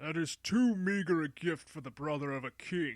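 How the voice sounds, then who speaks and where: This is a put-on character voice with lively intonation. It moves at a moderate pace. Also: man. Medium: read story. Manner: haughty.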